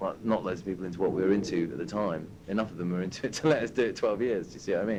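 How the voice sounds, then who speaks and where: A man with a London accent speaks very fast, with hardly any pauses. His pitch is fairly low, and it varies in an ordinary way. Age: 30s. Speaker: club night founder and DJ. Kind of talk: casual interview at a club night.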